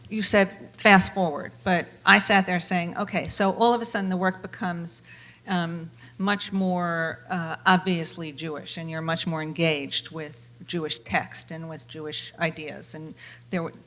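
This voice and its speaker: A woman at a fairly low pitch with a bright, sharp tone, ordinary pitch variation, a fairly slow pace and big swings in loudness. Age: 60s. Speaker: panel moderator. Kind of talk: moderated panel discussion.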